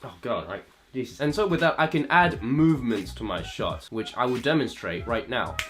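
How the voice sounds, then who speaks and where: A man at a medium pitch and a moderate pace, with very wide pitch swings and music in the background. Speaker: gaming and film-gear vlogger. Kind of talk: casual vlog. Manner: rambling, self-correcting.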